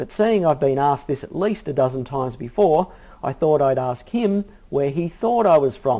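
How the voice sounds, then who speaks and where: With an Australian accent, a man speaks at a moderate pace, his fairly high pitch carrying a dark, mellow tone and lively intonation. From Australia, Sydney. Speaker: fitness coach. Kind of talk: personal introduction video. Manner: casual, friendly.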